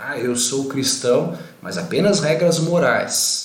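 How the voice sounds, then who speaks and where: A man speaks at a fairly high pitch with audible room echo. Noticeable background noise is present too. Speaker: pastor. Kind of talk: bible study livestream. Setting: Facebook live video.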